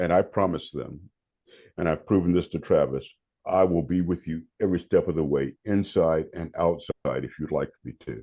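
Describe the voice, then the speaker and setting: A man with an American accent, a very deep, low pitch and vocal fry, with fairly even intonation at a moderate pace. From North Carolina, Raleigh. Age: 70s. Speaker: meditation teacher and prison volunteer. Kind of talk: podcast interview. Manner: halting, repeats words.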